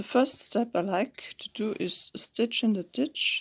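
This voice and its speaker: The speech has a non-native accent and a very slow pace. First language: not English. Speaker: home sewist. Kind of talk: sewing tutorial talk. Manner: casual.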